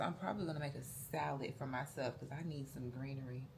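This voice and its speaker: Audible room echo carries a woman's very deep, low voice. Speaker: family vlogger. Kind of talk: casual vlog narration. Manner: whispering, soft.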